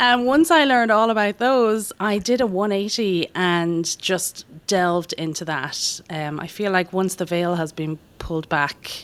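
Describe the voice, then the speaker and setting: At a fairly slow pace, a woman with an Irish accent speaks at a medium pitch with lively intonation. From Ireland. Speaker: doctor. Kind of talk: podcast interview.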